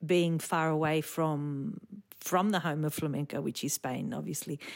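Recorded very cleanly against a silent background, a woman with an Australian accent speaks fairly slowly at a fairly low pitch with fairly even intonation. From Sydney, Australia (eastern suburbs). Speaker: flamenco dancer and choreographer. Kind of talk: casual interview.

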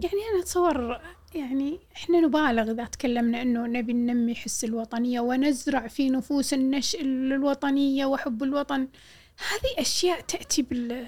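A woman with a Kuwaiti accent speaks at a fairly slow pace in a high pitch with ordinary pitch variation. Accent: Kuwaiti Gulf Arabic. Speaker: poet and journalist. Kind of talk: casual interview conversation.

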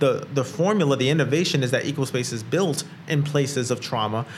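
Noticeable background noise sits behind this man's voice. He has a fairly high pitch and ordinary pitch variation. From Brooklyn, New York. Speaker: entrepreneur and co-working space founder. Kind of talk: casual interview conversation. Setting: recording at a co-working space.

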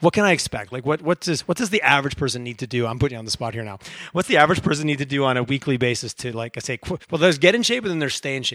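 This man talks at a very fast pace with a medium pitch, lively intonation and big swings in loudness, the sound dry and close with no echo. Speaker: podcast host. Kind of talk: interview. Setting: studio. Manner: animated.

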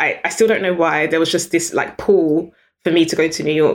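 A British-accented woman's fairly low voice, fairly quick and fairly even in intonation. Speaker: business founder and CEO. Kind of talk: interview conversation.

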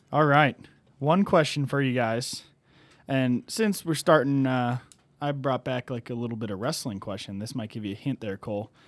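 This is a normal speaking voice with ordinary pitch variation, delivered at a moderate pace. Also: man, medium pitch for a man. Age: 20s. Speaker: podcast co-host. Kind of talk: casual chat.

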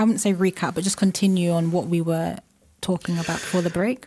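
A woman's somewhat breathy voice at a medium pitch, dark and mellow in tone, on a very clean recording with a silent background. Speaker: radio host. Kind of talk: radio host patter, segment intros and sign-offs. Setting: radio studio. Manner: friendly, conversational, filler-heavy.

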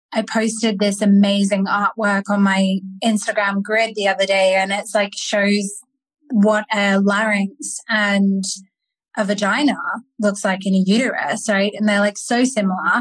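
A woman with a medium pitch talks at a fairly slow pace in a somewhat breathy voice, her intonation monotone and flat. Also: very even loudness. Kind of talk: interview conversation.

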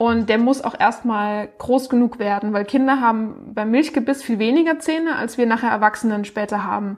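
A woman's normal speaking voice at a fairly high pitch, moderate pace and ordinary pitch variation, with hardly any pauses. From Baden-Württemberg, Baden-Baden. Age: 20s. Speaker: speech therapist and startup founder. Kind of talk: interview.

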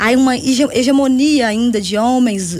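A woman speaks with a high pitch and ordinary pitch variation, in a Minas Gerais accent. Noticeable background noise sits behind her. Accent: Minas Gerais Brazilian Portuguese. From Brazil, Belo Horizonte (Minas Gerais). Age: 40s. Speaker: party leader and social movement activist. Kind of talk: radio interview.

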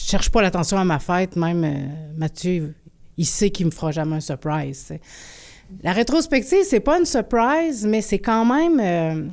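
Speaking at a fairly slow pace in a medium pitch, a woman with a Quebec accent lets her voice move through very wide pitch swings. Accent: Québécois French. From Quebec, Abitibi-Témiscamingue (Rouyn-Noranda). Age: 40s. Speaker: performance artist and musician. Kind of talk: interview.

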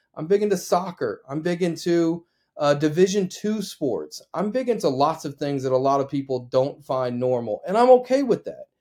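A man's plain, everyday voice in an American accent, with a fairly high pitch, lively intonation and a moderate pace. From Oklahoma. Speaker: sports broadcaster and podcast host. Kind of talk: solo podcast monologue.

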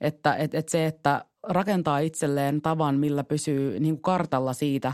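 In a very clean recording with a silent background and a dry, close sound with no echo, a woman speaks at a fairly slow pace with a very deep, low pitch. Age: 30s. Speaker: city councillor and party vice-chair. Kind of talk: casual chat. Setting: studio.

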